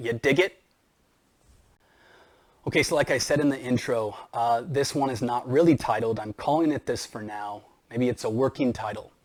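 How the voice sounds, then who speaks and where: A man talks at a moderate pace with ordinary pitch variation, leaving long, frequent pauses. The recording is very clean, with a silent background. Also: medium pitch for a man. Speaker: math teacher; spoken word poet. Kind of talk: casual talk to camera. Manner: hesitant.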